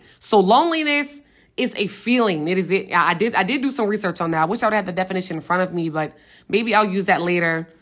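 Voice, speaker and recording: A woman with an American accent talks very fast at a medium pitch with lively intonation, in a very clean recording with a silent background. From US South, Richmond, Virginia. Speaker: podcast host. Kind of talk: casual solo podcast talk.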